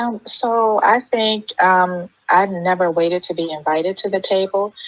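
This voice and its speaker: Speaking at a fairly slow pace, a woman has an American accent. Her pitch is medium and her intonation fairly even. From US, Maryland. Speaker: panelist, mentor. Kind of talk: panel discussion.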